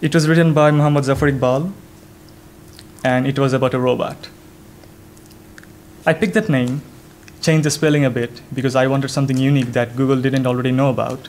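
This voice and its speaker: Speaking very fast yet with long, frequent pauses, a man with a Bengali accent uses a fairly high pitch and fairly even intonation, with room echo audible. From Bangladesh. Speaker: software developer. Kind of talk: conference talk. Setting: stage with audience.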